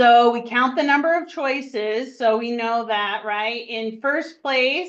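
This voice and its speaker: Loud and very slow, a woman speaks in a high pitch with ordinary pitch variation. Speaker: math teacher. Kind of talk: classroom lesson.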